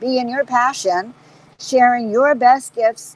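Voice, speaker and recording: In a dry, close sound with no echo, a woman with a fairly high pitch speaks at a fairly slow pace. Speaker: spiritual teacher. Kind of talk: inspirational talk. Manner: animated.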